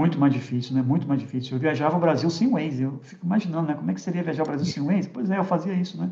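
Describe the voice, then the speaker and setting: Speech comes at a very fast pace with lively intonation. The tone is dark and mellow. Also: man, fairly high pitch for a man, hardly any pauses. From Rio de Janeiro, Brazil. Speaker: tech industry executive. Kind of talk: casual interview chat.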